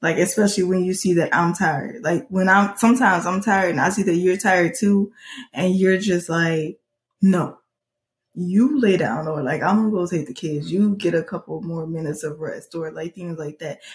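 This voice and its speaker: A woman speaks at a fairly low pitch with ordinary pitch variation. Her voice is somewhat breathy. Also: moderate pace. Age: 20s. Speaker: podcast co-host, mother of two. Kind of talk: casual chat.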